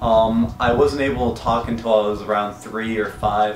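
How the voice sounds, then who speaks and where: A man speaks with fairly even intonation. Audible room echo and noticeable background noise surround his voice. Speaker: vlogger. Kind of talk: personal vlog. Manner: halting.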